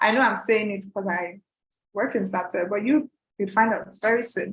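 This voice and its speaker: Somewhat breathy, a woman speaks at a medium pitch and a moderate pace. Her intonation stays fairly even. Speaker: product trainer for a website builder company. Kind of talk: live online training webinar. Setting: livestream with screen sharing.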